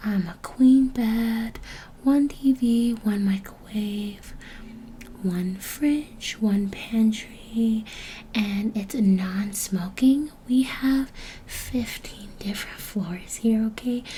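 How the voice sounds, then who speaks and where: A soft-spoken woman talks at a very slow pace. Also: fairly high pitch for a woman, ordinary pitch variation. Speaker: ASMR creator. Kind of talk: ASMR hotel check-in roleplay.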